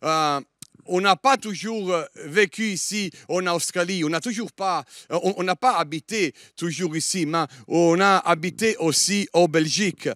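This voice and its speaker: A man's high voice in a Liège accent, very slow, with ordinary pitch variation and a dry, close sound with no echo on a very clean recording with a silent background. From Germany (Italian, born in Italy). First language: Italian (speaking French). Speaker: guest preacher. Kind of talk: sermon. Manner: halting, many hesitations.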